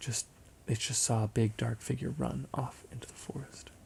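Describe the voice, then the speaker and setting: A man's medium-pitched voice, dark and mellow in tone and somewhat breathy. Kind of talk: ASMR roleplay, bedtime story. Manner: soft-spoken, slow.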